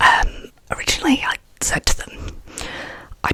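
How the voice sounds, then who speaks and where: A woman whispers at a moderate pace. Background noise is noticeable. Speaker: ASMR artist. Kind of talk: ASMR ramble. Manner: soft-spoken, whispered.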